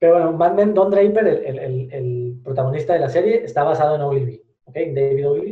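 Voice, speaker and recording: The man talks fairly quickly at a fairly high pitch. His pitch varies in an ordinary way while his loudness swings widely. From Spain. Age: 20s. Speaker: digital marketing entrepreneur. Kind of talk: podcast interview.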